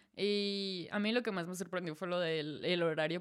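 The pace here is fairly slow. Intonation stays fairly even. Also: woman. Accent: central Mexican. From Mexico, Celaya. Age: 20s. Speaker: podcast guest, expat. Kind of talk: casual chat.

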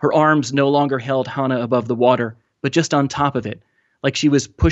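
Against a quiet background, a natural reading voice carries fairly even intonation.

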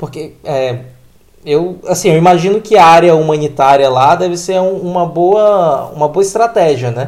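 A man's high voice, fairly slow, with ordinary pitch variation. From Brazil, Pará (Transamazônica region). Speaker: podcast host. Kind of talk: casual chat.

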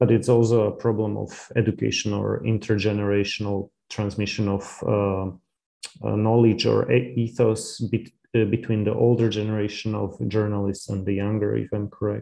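A man with a Slovak accent speaks in a fairly low voice with a dark, mellow tone and monotone, flat intonation. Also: moderate pace. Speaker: interviewer, educator. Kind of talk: interview. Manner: halting, many fillers.

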